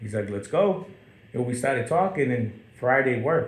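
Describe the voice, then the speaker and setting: Somewhat breathy, a man speaks with lively intonation in a room with audible echo. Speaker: talk show host. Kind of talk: casual chat.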